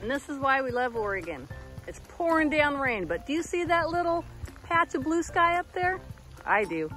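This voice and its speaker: Against faint music in the background, a woman with high pitch talks at a moderate pace in a dry sound with no echo. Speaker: camping vlogger. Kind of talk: casual vlog chat. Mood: cheerful, laughing. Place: rain. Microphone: phone near.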